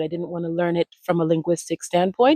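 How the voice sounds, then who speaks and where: Dry and close with no echo, the clip has a woman talking at a very fast pace in a dark, mellow tone at a fairly low pitch. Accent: American. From US Midwest (Ohio), early childhood in Miami. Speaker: language retreat founder, communication strategist. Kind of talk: interview, personal story. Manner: casual, with many fillers.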